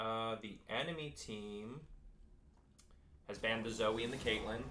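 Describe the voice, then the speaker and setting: Long, frequent pauses mark the fairly slow pace, with a bright, sharp tone, fairly even intonation and audible room echo. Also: man. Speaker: esports caster. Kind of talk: live commentary. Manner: loud.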